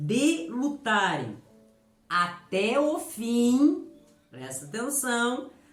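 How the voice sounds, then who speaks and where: Her high voice comes in an animated tone with very wide pitch swings. Noticeable background noise surrounds the woman as she speaks. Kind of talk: sermon. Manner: animated, emphatic.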